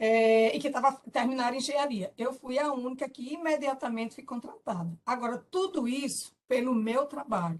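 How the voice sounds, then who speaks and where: At a moderate pace, a woman speaks in a high voice with lively intonation. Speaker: engineer, former professional council president. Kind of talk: testimony. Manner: halting.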